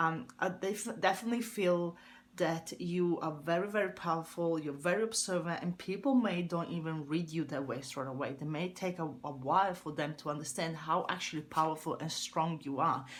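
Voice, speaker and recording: A woman with an Italian accent, fairly low-pitched, with ordinary pitch variation, a moderate pace and hardly any pauses. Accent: Italian accent, noticeable. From Italy. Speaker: tarot reader. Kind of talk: tarot reading. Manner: hesitant, with fillers.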